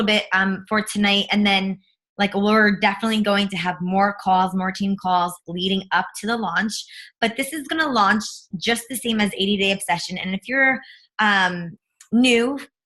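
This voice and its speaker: The woman's voice sits at medium pitch with a bright, sharp tone. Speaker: fitness coach team leader. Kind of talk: team call announcements. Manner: casual, filler-heavy.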